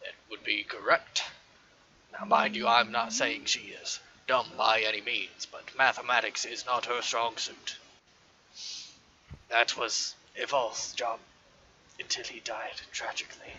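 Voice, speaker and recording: Using a put-on character voice, a man of medium pitch speaks at a fairly slow pace, with big swings in loudness and long, frequent pauses. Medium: actual play. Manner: formal, slightly pompous.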